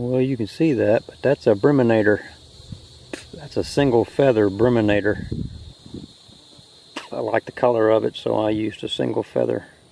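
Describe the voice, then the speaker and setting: Fairly low in pitch, a man speaks at a moderate pace with ordinary pitch variation and long, frequent pauses. Light background noise sits under a dry sound with no echo. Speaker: angler vlogger. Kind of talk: casual vlog chat. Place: open country. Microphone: phone near.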